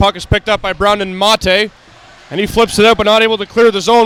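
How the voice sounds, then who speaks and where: Talking very fast in a high voice with fairly even intonation, a man sounds dry and close with no echo, over noticeable background noise. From Canada, Toronto, Ontario. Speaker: hockey play-by-play commentator. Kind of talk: live commentary.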